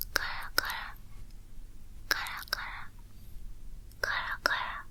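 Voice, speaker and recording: Someone whispers at a fairly slow pace. Noticeable background noise can be heard. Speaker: ASMR creator. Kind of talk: ASMR teacher role play lesson. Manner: whispered.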